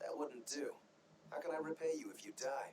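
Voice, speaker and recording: A man's put-on character voice, raspy and fairly high-pitched, in a calm tone at a fairly quick pace, with big swings in loudness over clear background noise. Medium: video game. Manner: calm, dry.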